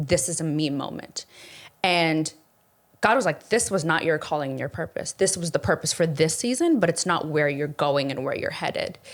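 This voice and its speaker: With an unremarkable speaking voice, a woman talks at a fairly quick pace and fairly low pitch with lively intonation. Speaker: investor and former makeup influencer. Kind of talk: casual chat.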